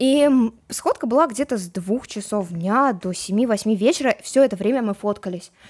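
A normal speaking voice carries lively intonation and keeps to a moderate pace. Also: woman, fairly high pitch for a woman. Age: young. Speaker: TikTok blogger. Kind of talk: casual chat. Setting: studio.

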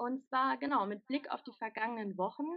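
Her voice sits high for a woman, and the pitch moves up and down in an ordinary way. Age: 20s. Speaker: interviewer, working student. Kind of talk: interview. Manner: hesitant, many filler sounds.

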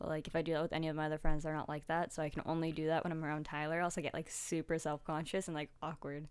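Very fast and with hardly any pauses, a woman speaks in a very deep, low voice with monotone, flat intonation. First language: Russian. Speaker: podcast co-host. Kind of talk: casual chat.

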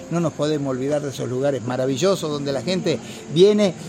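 Noticeable background noise behind fairly quick speech with ordinary pitch variation. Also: man. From Argentina, Santa Fe province countryside near Maciel. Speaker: folk songwriter. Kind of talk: radio interview. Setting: outdoor festival.

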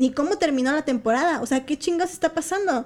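In a very clean recording with a silent background, a woman with a Mexican accent speaks at a high pitch with ordinary pitch variation. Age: 20s. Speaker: sports journalist. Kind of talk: casual chat.

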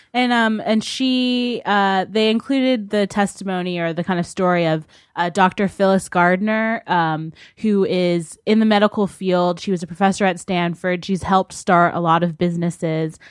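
A woman at a medium pitch, moderate pace and ordinary pitch variation, with hardly any pauses, in a very clean recording with a silent background. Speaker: arts writer. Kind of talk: casual chat. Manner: halting, many fillers.

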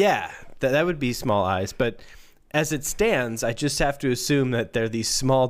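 Delivered in an unforced reading voice, the speech has lively intonation.

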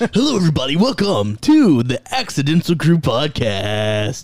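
In a put-on character voice, a man talks at a moderate pace and a fairly high pitch, his pitch swinging very widely. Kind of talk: polished broadcast delivery.

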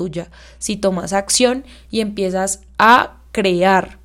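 The background is silent and the recording very clean. A woman is the one talking. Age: 20s. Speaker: podcast host and young entrepreneur. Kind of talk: solo podcast monologue.

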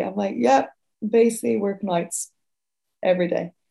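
In a Dublin accent, a woman talks at a moderate pace and a medium pitch, somewhat breathy, with a dark, mellow tone. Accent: Dublin Irish. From Ireland, Dublin. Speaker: racing staff operations manager. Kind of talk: interview conversation.

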